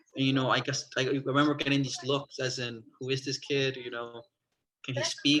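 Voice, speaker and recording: A man speaks with a New York accent at medium pitch and a moderate pace. His tone is bright and sharp, his intonation flat and monotone. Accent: New York area American English. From Long Island, New York. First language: Spanish. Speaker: college student. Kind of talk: casual chat. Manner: hesitant, many fillers.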